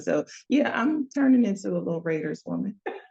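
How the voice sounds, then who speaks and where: A woman with an American accent, vocal fry, lively intonation and a fairly quick pace. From US Northeast, New Jersey. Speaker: business consultant and community organizer. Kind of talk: podcast interview.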